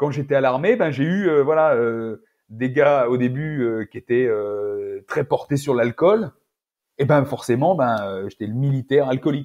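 Over a quiet background, a man speaks at a fairly slow pace with a medium pitch. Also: ordinary pitch variation. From France, Auvergne (rural); France. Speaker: naturopath and nutrition adviser; podcast guest. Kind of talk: casual interview. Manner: halting, many repetitions and fillers. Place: home room. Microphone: earbuds.

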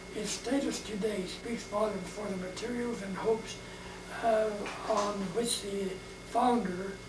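Background noise is clear as a man speaks at a slow pace. His pitch is high and his intonation fairly even.

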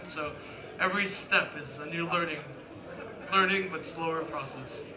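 Noticeable noise sits behind the voice, which goes along at a fairly quick clip. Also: man. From Hawaii. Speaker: comic book artist. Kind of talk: live panel interview. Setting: stage with audience. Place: hall. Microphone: handheld.

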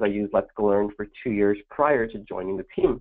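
A man speaks at a fairly quick pace with ordinary pitch variation. The background is quiet. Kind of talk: webinar presentation. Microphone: video call.

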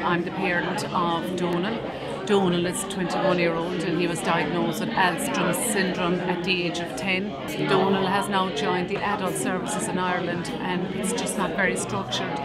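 A woman speaks at a moderate pace with hardly any pauses. Music plays in the background. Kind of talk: interview answer. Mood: earnest, hopeful. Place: hall.

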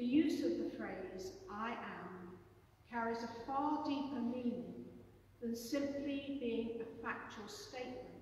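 A woman with a high pitch speaks very slowly. Strong room echo and light background noise fill the recording. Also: ordinary pitch variation. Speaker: preacher. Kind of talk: sermon. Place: church. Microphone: camera far.

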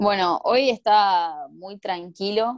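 A woman speaks against a quiet background. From Argentina. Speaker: Paralympic swimmer; interviewee. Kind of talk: interview. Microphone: video call.

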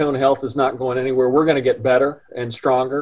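There is a quiet background behind this man. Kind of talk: interview answer. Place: office. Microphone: video call.

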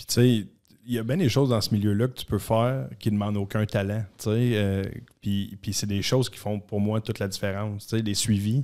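A man speaks at a moderate pace with a fairly low pitch and a dark, mellow tone. The background is quiet. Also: fairly even intonation. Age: 30s. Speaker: mortgage specialist, former junior hockey player; guest. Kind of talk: casual interview chat. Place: studio. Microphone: studio mic.

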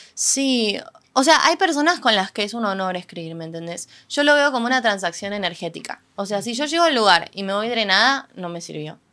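A woman with a Rioplatense accent talks at a fairly quick pace with hardly any pauses, her tone bright and sharp. Her pitch swings very widely and her loudness swings a lot. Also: medium pitch for a woman. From Argentina. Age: 20s. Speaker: singer-songwriter; guest. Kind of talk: casual interview. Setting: event venue. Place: studio. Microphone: studio mic.

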